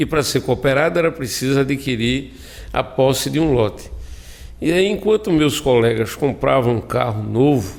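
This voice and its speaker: A man talks at a moderate pace and medium pitch, his intonation lively and his loudness very even. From Brazil, Alagoas (Viçosa, Zona da Mata). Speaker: cooperative president, agricultural technician. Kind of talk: radio interview. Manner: halting, many fillers.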